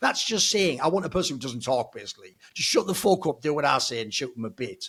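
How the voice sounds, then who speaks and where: Very fast and animated, a man speaks at a fairly high pitch with very wide pitch swings. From northeast England. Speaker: esports pundit. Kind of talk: casual podcast discussion.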